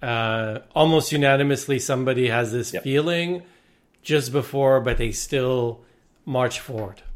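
A normal speaking voice moves at a fairly slow pace with fairly even intonation in a very clean recording against a silent background. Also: man, medium pitch for a man. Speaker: podcast host. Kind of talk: interview.

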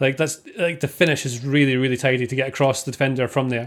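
In an ordinary speaking voice, a man talks at a fairly quick pace with fairly high pitch on a very clean recording with a silent background. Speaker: football podcast panelist. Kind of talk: casual chat.

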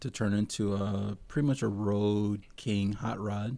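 A man with an American accent talks in a fairly low pitch with monotone, flat intonation. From Texas. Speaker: biker. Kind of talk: casual chat.

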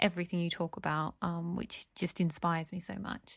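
Speaking in an Australian accent at a medium pitch, a woman is heard over a quiet background. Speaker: listener sending a voice question. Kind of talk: recorded voice message.

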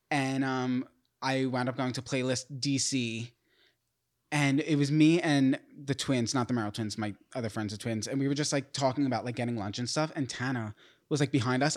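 Recorded very cleanly against a silent background, a man with an American accent speaks at medium pitch and a fairly quick pace with fairly even intonation. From New York. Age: 30s. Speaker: podcast co-host, YouTuber. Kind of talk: casual chat. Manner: fast.

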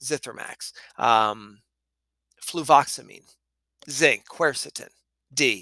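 A man speaks with lively intonation and a bright, sharp tone. The sound is dry and close, with no echo. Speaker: pharmacist and podcast host. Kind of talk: angry rant, structured and impassioned monologue about pharma corruption. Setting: solo podcast recording. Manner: fired up, indignant, punchy and emphatic, swearing; conversational with filler words and ums.

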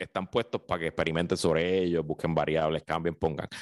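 A man's dry, close sound with no echo, over a quiet background. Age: 30s. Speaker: radio commentator. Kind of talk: casual chat.

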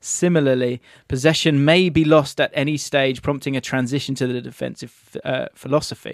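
With an ordinary speaking voice, a man talks at a moderate pace and a fairly high pitch, his intonation fairly even, in a very clean recording with a silent background and a dry, close sound with no echo. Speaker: podcast host. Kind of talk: casual football chat.

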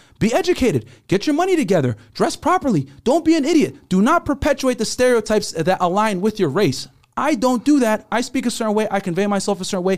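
A man with an American accent talks at a very fast pace in a high pitch, his tone animated and his pitch swinging very widely. The recording is very clean, with a silent background. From United States, Sudanese parents. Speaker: dating podcast host. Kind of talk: casual chat. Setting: studio.

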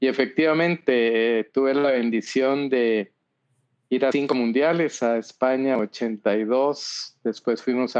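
Pitched in a medium range, a man speaks with fairly even intonation. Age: 70s. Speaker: business consultant and author. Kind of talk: interview.

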